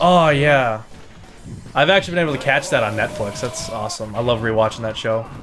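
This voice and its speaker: The speech is fairly quick with lively intonation, with music in the background. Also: man, medium pitch for a man. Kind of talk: casual gameplay commentary.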